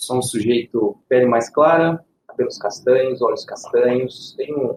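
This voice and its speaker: A somewhat breathy male voice at a moderate pace. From Minas Gerais, Brazil; raised in Ribeirão Preto, São Paulo. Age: 30s. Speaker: IT specialist. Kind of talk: podcast panel self-introduction.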